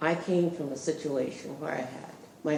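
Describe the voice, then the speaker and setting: A woman speaks with a very deep, low pitch. Audible room echo and noticeable background noise are present. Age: 80s+. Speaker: community member. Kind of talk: public comment.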